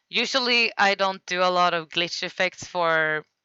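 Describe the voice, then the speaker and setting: This woman talks with a Swedish accent. Her pace is fairly slow. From Sweden. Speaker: streamer. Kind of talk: casual livestream commentary. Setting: live stream.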